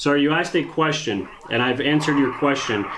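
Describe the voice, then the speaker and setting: Over noticeable background noise and audible room echo, a man talks with fairly high pitch. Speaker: auto repair shop owner. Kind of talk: heated phone argument.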